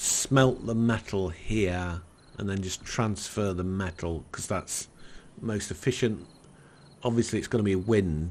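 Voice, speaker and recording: Speaking at a fairly slow pace, a man with a northern English accent has a fairly low pitch and ordinary pitch variation. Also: quiet background. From northern England. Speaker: gaming YouTuber. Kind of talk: let's play commentary. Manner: halting.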